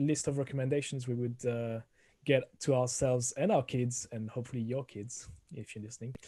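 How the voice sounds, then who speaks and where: A man with a strong French accent, somewhat breathy, with a dark, mellow tone, a fairly quick pace and ordinary pitch variation. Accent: thick French. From France. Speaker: podcast co-host. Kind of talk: casual chat.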